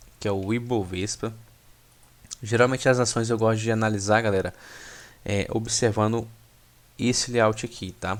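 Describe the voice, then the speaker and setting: Moderate pace, long and frequent pauses, monotone, flat intonation. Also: man, medium pitch for a man. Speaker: stock market analyst. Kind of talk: tutorial. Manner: casual, many filler words.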